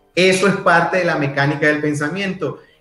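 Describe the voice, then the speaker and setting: With noticeable background noise and audible room echo, a man speaks in fairly even intonation. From Venezuela, Maturín (Monagas, east). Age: 30s. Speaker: personal development speaker. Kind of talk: interview, casual chat.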